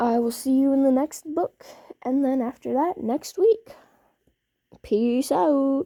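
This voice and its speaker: With a dark, mellow tone and high pitch, a woman speaks at a very slow pace with lively intonation and long, frequent pauses in a dry, close sound with no echo. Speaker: fanfiction reader.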